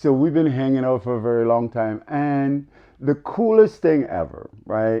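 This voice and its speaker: A man with an ordinary speaking voice, medium pitch, lively intonation and a fairly slow pace. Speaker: podcast host. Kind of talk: podcast interview questions.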